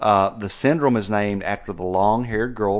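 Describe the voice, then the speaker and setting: Talking at a fairly quick pace, a man uses a fairly low pitch with ordinary pitch variation. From West Texas. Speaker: veterinarian, podcast co-host. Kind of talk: casual chat; reading aloud.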